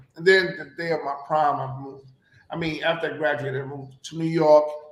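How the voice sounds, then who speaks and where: Audible room echo colors this clip. A man with a fairly high pitch speaks at a moderate pace. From Puerto Rico. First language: Spanish. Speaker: actor and radio personality. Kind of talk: interview.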